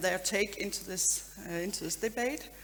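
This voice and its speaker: A woman speaks with a Danish accent. Her pace is moderate. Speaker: politician, debate moderator. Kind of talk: panel moderation. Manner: halting.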